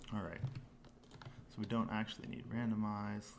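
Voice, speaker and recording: A man mumbles, with audible room echo around his voice. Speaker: game developer, technical director. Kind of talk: live coding stream. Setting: livestream. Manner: mumbling.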